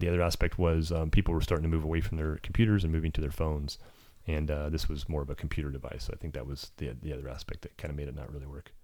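Very fast speech in an American accent, with big swings in loudness and ordinary pitch variation, on a very clean recording with a silent background. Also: man, very deep, low pitch for a man. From California. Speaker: entrepreneur. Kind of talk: interview.

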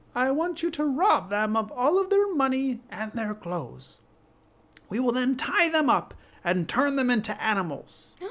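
This is a put-on character voice with a fairly high pitch. It moves along at a moderate pace. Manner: scheming, menacing.

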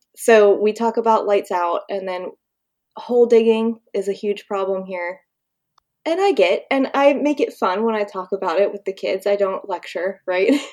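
In an American accent, a woman with an ordinary speaking voice talks at a moderate pace, medium pitch and ordinary pitch variation. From Pennsylvania, US. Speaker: professional mermaid and conservation educator. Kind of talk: casual interview.

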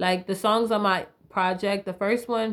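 A woman with an American accent speaks at a medium pitch with ordinary pitch variation. Her tone is animated, with vocal fry. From US South, Raleigh, North Carolina. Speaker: musician. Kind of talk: casual chat.

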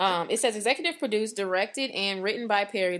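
In a very clean recording with a silent background, a woman speaks at a medium pitch and a fairly quick pace, her tone animated and passionate, with ordinary pitch variation. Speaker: podcast host. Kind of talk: casual chat. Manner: animated, passionate, excitable; talks over others.

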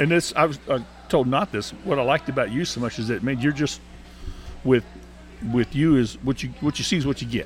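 Medium-pitched man's voice in a Texan accent, fairly quick, with ordinary pitch variation, long and frequent pauses, and music in the background. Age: 60s. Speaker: radio host. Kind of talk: casual chat. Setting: bar venue.

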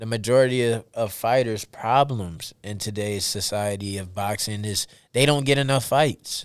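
A plain, everyday voice from a man, medium in pitch with fairly even intonation and a moderate pace, on a very clean recording with a silent background. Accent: American. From United States. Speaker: professional boxer. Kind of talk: interview.

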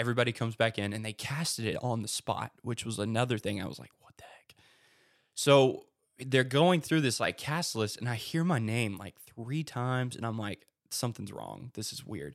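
Speaking with an American accent, a man in an unremarkable speaking voice keeps a moderate pace and medium pitch, with ordinary pitch variation and big swings in loudness. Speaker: theater director. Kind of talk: casual chat.

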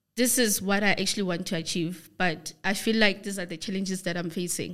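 Here a woman speaks with a South African accent. Her medium-pitched voice has fairly even intonation. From South Africa, Free State. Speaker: forex trader. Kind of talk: interview.

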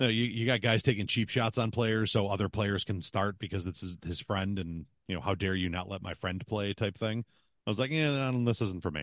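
With a Western New York accent, a man speaks fairly quickly in a fairly low voice with ordinary pitch variation, sounding dry and close with no echo against a quiet background. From Buffalo, western New York. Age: 40s. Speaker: podcaster and sports broadcaster. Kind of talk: casual chat. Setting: video call.

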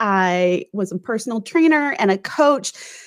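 In an unremarkable speaking voice, a woman talks fairly slowly at a fairly high pitch with lively intonation. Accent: General American. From US Midwest, St. Louis. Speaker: author. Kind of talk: interview.

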